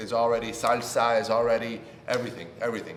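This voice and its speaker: Recorded with audible room echo and noticeable background noise, a man speaks at a moderate pace with a medium pitch. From Puerto Rico. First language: Spanish. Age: 20s. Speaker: YouTuber. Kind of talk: casual vlog introduction.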